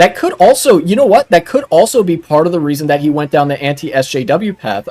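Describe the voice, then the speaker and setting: A man's plain, everyday voice, fairly quick and lively in intonation, with a dry, close sound and no echo. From United States. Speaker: streamer reacting to videos. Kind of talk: live stream reaction commentary. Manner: casual with many fillers.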